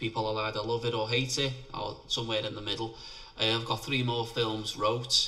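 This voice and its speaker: Amid noticeable background noise and audible room echo, a man with a Liverpool accent speaks at a fairly quick pace with a medium pitch and monotone, flat intonation. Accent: Scouse (Liverpool). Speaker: independent filmmaker. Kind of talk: interview.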